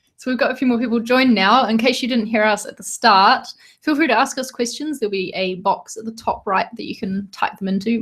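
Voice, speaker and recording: A woman with a New Zealand accent and a fairly high pitch, talking at a fairly quick pace with hardly any pauses. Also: ordinary pitch variation. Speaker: podcast co-host, designer. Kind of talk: casual chat. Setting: live video stream, in a room together.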